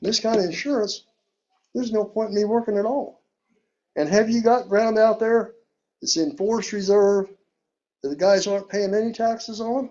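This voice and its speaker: The speech is animated in tone and moderate in pace, broken by long, frequent pauses. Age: 70s. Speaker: local resident speaking at public hearing. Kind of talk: public comment at county meeting.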